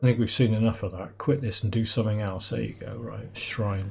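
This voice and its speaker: Over noticeable background noise, a man with a British accent speaks with fairly even intonation. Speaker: gaming YouTuber. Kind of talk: gameplay commentary. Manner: casual, rambling.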